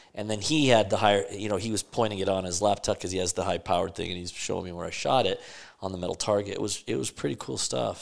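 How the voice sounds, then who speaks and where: An ordinary speaking voice from a man with an American accent, fairly low in pitch, on a very clean recording with a silent background. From Las Vegas, US. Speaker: title and escrow businessman. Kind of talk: casual chat.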